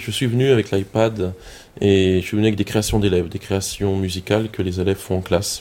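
In a very deep, low pitch, the man talks at a moderate pace. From Alsace, France (Colmar). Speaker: music teacher. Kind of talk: casual chat.

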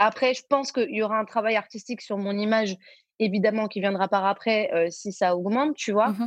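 A woman's fairly high voice at a fairly quick pace, with fairly even intonation and a quiet background. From Belgium. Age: 20s. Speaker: singer and social media influencer. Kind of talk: casual interview. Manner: halting, many fillers and repetitions.

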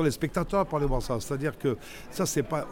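His pitch shows ordinary variation. The man talks very fast. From Grenoble area, Isère, France. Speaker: actor and comedian. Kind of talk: casual chat. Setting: outdoors. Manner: halting, repeats words.

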